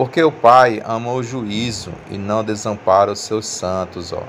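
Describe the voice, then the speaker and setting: Noticeable background noise runs under the audio. A man talks with a fairly low pitch. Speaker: religious youtuber. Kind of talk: bible teaching. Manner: halting.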